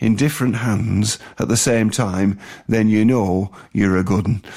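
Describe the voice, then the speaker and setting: A man speaking at a very slow pace, in a very clean recording with a silent background. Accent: northern English. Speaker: radio host. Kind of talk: radio music show presenting. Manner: hesitant with fillers.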